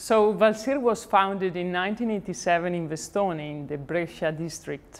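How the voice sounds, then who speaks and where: The speaker keeps a moderate pace with hardly any pauses, showing ordinary pitch variation and big swings in loudness. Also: woman, medium pitch for a woman. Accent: Italian. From Italy. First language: Italian. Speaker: company representative, founder's granddaughter. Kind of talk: corporate presentation. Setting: company showroom event. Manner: formal.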